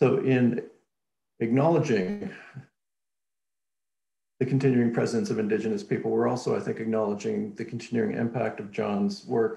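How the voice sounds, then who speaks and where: A man's voice with vocal fry at a moderate pace, audible room echo and a quiet background. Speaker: academic host introducing speaker. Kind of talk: formal introduction.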